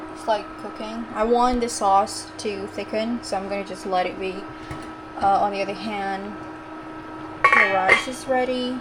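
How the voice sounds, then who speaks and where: Amid noticeable background noise and audible room echo, a woman with a fairly high pitch speaks with lively intonation and long, frequent pauses. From Indonesia. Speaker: vlogger, mother. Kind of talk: cooking vlog. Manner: casual, hesitant with many fillers.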